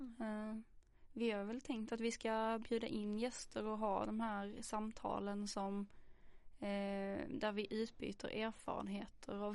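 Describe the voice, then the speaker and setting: At a fairly slow pace, a woman talks in an unremarkable speaking voice with a fairly high pitch. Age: 20s. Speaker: social work student, podcast host. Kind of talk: casual chat. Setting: studio.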